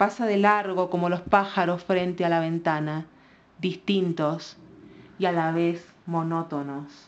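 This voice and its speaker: Here is a woman with an unremarkable speaking voice, pitched fairly low. She goes at a fairly slow pace with fairly even intonation. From Argentina. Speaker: writer. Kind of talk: poetry reading.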